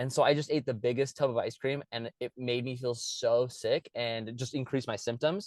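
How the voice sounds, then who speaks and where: A man talks at a fairly quick pace with medium pitch and ordinary pitch variation, in a plain, everyday voice. The sound is dry and close with no echo, over a quiet background. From Russia, moved to Utah at eight. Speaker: interviewee with type 1 diabetes. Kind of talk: casual interview.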